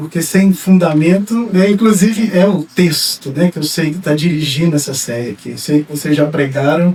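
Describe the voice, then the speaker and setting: Amid noticeable background noise, a man with a Minas Gerais accent speaks at a moderate pace with hardly any pauses, using a high pitch, ordinary pitch variation and big swings in loudness. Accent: mineiro. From Brazil, Minas Gerais. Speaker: pastor and psychologist. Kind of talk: sermon. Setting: church. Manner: halting, many fillers.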